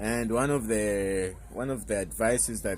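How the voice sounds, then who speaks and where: At a fairly slow pace, a man with a fairly low pitch speaks with ordinary pitch variation. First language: Portuguese. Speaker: self-improvement youtuber. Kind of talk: casual vlog monologue. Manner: halting, with fillers and repetitions.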